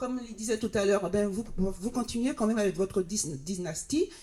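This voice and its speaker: A woman's fairly high, somewhat breathy voice has a dark, mellow tone, lively intonation and a moderate pace. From Martinique, Anses d'Arlet. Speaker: audience member. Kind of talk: public discussion. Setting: round table with audience. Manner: halting.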